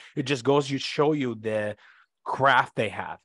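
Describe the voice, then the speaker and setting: A man talks with an Iraqi accent and lively intonation. The background is quiet. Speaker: former interpreter and author. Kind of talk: interview, telling stories.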